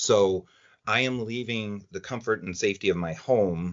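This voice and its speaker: A man's ordinary speaking voice, fairly low in pitch, with ordinary pitch variation at a moderate pace. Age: 50s. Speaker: former OCD patient. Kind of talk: podcast interview answer. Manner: casual, conversational.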